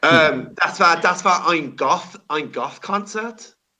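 Very slowly, a man speaks in a bright, sharp tone. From England. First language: English (speaking German). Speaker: rock singer. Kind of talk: casual interview. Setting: remote call at his workplace. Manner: halting.

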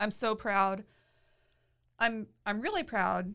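A woman talks at a fairly slow pace in a Texan accent. The recording is very clean, with a silent background. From Texas, Waco area. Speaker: attorney and new mother. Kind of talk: interview. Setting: studio.

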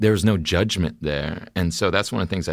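Vocal fry colors this man's speech, and his pitch varies in an ordinary way. The background is silent and the recording very clean. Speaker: actor guest. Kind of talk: casual chat. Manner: charming, playful.

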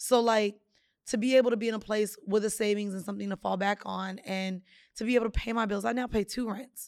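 A woman talks at a very fast pace in a medium pitch. Her intonation stays monotone and flat. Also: very clean recording, silent background. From Jamaica. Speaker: podcast host. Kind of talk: casual chat.

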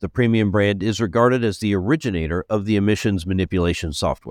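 In a dry, close recording with no echo and a silent background, a man talks in a normal speaking voice, pitched fairly low with ordinary variation. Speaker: news podcast host, executive editor. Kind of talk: news reading.

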